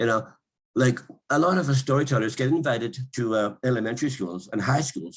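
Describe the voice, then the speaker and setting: A man talks at a fairly quick pace with a medium pitch and ordinary pitch variation. His voice is somewhat breathy, and its loudness swings a lot. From northern Saskatchewan, Canada (Cree). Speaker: storyteller and university professor. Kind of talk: interview answer. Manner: casual, humorous.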